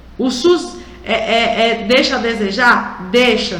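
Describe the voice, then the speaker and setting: Over noticeable background noise and audible room echo, a woman with a high pitch speaks at a very slow pace with ordinary pitch variation. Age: 60s. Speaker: radio host, union representative. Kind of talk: radio talk show commentary. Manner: conversational, direct address to listeners.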